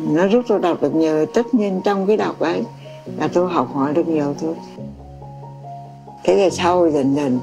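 Over clear background music, a woman with a very deep, low pitch speaks at a moderate pace with lively intonation and long, frequent pauses. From Vietnam. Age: 80s+. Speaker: memoir author. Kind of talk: interview answer. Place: home room.

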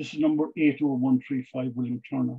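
Ordinary pitch variation from a man, set against a quiet background. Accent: Irish. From Ireland. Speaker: police historian and author; guest. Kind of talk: Q&A answers; lecture. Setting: video call. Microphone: video call.

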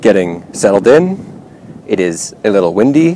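Very wide pitch swings mark a man's speech at a fairly slow pace. The sound is dry with no echo, though background noise is noticeable. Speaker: fitness instructor. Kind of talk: exercise narration. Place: waterside.

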